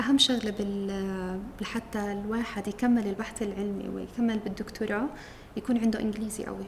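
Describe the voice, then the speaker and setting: Over noticeable background noise, a woman talks at a moderate pace in monotone, flat intonation. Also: fairly high pitch for a woman. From Jerusalem. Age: 30s. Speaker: PhD student in pharmacology. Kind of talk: interview testimony. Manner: hesitant, with fillers.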